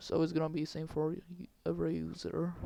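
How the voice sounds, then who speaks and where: A man speaks with a non-native accent. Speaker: game development tutorial maker. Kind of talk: screen-recorded coding tutorial. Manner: hesitant, many filler words.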